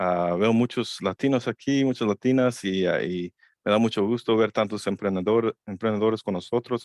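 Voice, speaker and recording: A man with a fairly low voice and an English accent, moderate pace, fairly even intonation, dry close sound with no echo, and a quiet background. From Chicago, US Midwest; Mexican-American family. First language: English (speaking Spanish). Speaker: lawyer. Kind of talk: seminar presentation. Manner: halting, many fillers.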